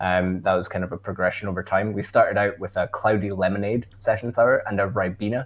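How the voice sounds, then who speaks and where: Talking at a very fast pace, a man with a Scottish accent keeps a fairly low pitch. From Scotland. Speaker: brewer. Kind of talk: podcast interview. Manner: casual, with many fillers.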